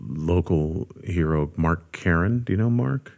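This man has a very deep, low voice and speaks with an American accent. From US West Coast, Los Angeles area. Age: 50s. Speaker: bass player and session musician. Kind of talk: casual interview chat.

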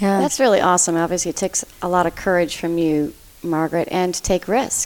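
A woman speaks at a moderate pace in a medium pitch with fairly even intonation. It is an ordinary speaking voice. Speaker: podcast co-host. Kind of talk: casual chat.

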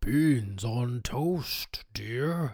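A put-on character voice pitched low to middle. The recording is very clean, with a silent background.

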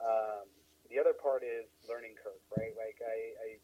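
Talking at a fairly quick pace, a man speaks with an American accent. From Denver, Colorado. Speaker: technology firm founder. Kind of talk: casual interview.

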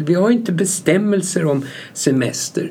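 A man's high pitch and lively intonation amid audible room echo. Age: 70s. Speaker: company founder. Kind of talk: interview.

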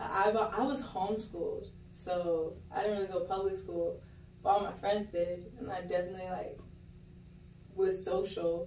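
Noticeable background noise sits behind a woman of medium pitch. She keeps a moderate pace and fairly even intonation. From Miami, Florida (Kendall). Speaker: podcast guest. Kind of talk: casual chat.

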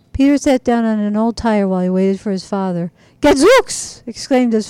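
The clip features a natural reading voice.

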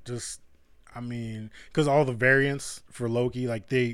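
A man in a normal speaking voice, medium in pitch with fairly even intonation, comes through a very clean recording with a silent background. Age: 30s. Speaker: podcast co-host. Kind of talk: casual chat.

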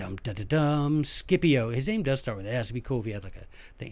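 On a very clean recording with a silent background, a man with an American accent makes very wide pitch swings. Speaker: history podcaster. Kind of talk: solo history lecture, casual. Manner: animated.

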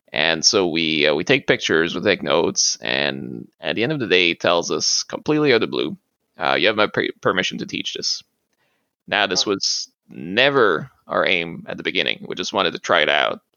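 A man speaks at a moderate pace with a Quebec accent. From Quebec, eastern Appalachian small town. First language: French. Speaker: museum collections manager and martial arts practitioner. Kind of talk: interview. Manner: halting, many fillers.

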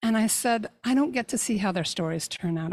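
A woman with a normal speaking voice, fairly high in pitch, lively in intonation, at a moderate pace, on a very clean recording with a silent background. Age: 60s. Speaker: life coach and podcaster. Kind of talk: interview conversation.

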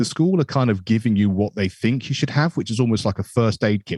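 A man with a British accent speaks at a fairly low pitch with ordinary pitch variation, the sound dry and close with no echo. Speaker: educator and music teacher. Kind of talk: interview.

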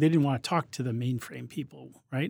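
The recording is very clean with a silent background. A man speaks at medium pitch in a somewhat breathy voice with ordinary pitch variation. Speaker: tech company executive. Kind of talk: interview.

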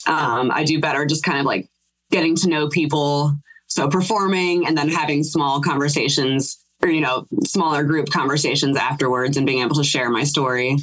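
With an American accent, a woman speaks in a very deep, low pitch. Her intonation is fairly even and her loudness very even. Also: moderate pace. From Ohio. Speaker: singer and cellist in band. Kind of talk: casual interview chat.

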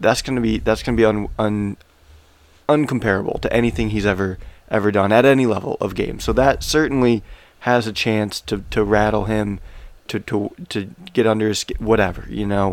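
This man has a plain, everyday voice, pitched fairly low. He keeps a moderate pace and fairly even intonation. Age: 30s. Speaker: sports betting podcast host. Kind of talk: casual chat.

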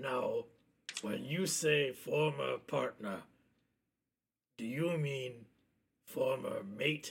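Delivered in a raspy, put-on character voice, the speech moves at a very slow pace with long, frequent pauses. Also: man, fairly high pitch for a man. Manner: blunt, dry, challenging.

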